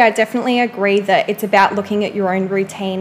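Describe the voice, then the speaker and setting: Noticeable background noise sits under a woman's fairly quick delivery, her pitch medium with ordinary variation. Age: 20s. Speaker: personal trainer and psychology student. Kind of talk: casual interview chat.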